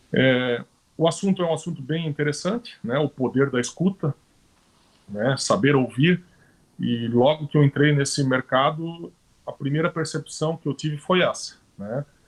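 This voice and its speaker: The voice is somewhat breathy, moving at a moderate pace with ordinary pitch variation. Long, frequent pauses come through in a dry, close sound with no echo. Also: man, fairly high pitch for a man. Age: 40s. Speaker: professional condo manager. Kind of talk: live-stream panel talk. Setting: live stream.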